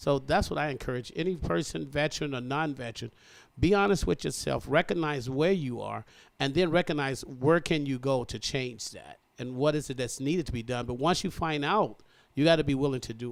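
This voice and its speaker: In a very clean recording with a silent background, a man speaks in a normal speaking voice, fairly quickly and at a fairly high pitch, with ordinary pitch variation. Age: 60s. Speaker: military veteran. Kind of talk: interview. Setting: radio studio. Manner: earnest, motivational.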